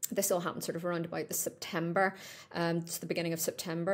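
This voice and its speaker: The woman's voice is fairly low in pitch, on a very clean recording with a silent background. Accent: Northern Irish. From Northern Ireland. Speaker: pet supplement business owner. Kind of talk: podcast interview. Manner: conversational, with frequent fillers.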